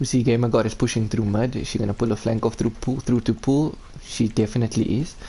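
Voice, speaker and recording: A man with a South African accent, medium-pitched and somewhat breathy, at a very fast pace. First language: Afrikaans. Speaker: esports caster. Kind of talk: live commentary. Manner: animated.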